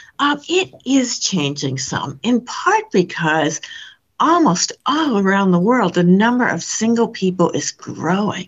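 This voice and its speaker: Somewhat breathy and medium in pitch, a woman speaks at a fairly slow pace with very wide pitch swings. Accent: American. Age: 70s. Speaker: social scientist. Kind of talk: interview. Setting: remote call. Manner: animated.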